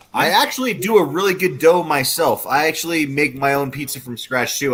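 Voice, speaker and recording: A man speaks at a fairly quick pace while noticeable background noise plays around him. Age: 30s. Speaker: podcast guest. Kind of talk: casual chat. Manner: animated.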